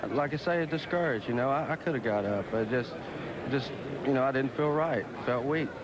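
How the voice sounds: A man talks at medium pitch and a moderate pace. His pitch varies in an ordinary way over clear background noise.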